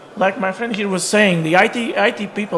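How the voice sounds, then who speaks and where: A man rattles off his words very fast, his pitch varying normally, while noticeable background noise carries on. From Portugal. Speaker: real estate agent. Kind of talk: panel discussion.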